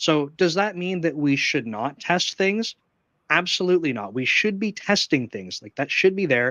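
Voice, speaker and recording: This is a plain, everyday voice with a Canadian accent. It moves at a moderate pace with lively intonation. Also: man. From Canada. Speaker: software engineering manager. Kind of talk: live stream interview. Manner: casual, filler-heavy.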